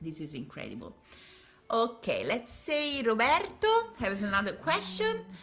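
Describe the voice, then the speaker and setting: Her tone comes across bright and sharp. The woman talks at a fairly slow pace. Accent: Italian. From Italy. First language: Italian. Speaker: violin maker. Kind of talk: live stream Q&A with interpreting.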